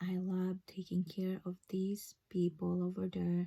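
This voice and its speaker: A woman speaks fairly slowly in a fairly low, somewhat breathy voice. Her tone is dark and mellow, her intonation monotone and flat. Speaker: registered nurse. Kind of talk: personal vlog story. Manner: halting, many fillers.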